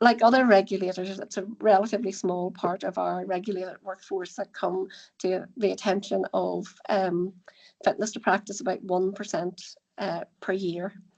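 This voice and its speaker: Vocal fry colors this voice, which keeps a monotone, flat intonation. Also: woman, medium pitch for a woman. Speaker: social care regulator representative. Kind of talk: panel presentation. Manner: fast; halting, many fillers and restarts.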